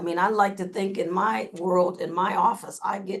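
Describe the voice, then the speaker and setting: A woman's medium-pitched voice, a normal speaking voice, with fairly even intonation. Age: 60s. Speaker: communication trainer. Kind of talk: webinar presentation. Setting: video call.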